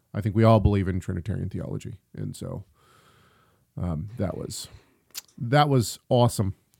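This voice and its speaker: Recorded very cleanly against a silent background, the speech moves at a moderate pace with ordinary pitch variation. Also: man, long, frequent pauses. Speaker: podcast host. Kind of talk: casual chat. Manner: energetic.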